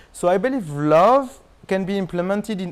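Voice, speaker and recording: A man with a French accent. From France. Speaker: marketing expert. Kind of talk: interview.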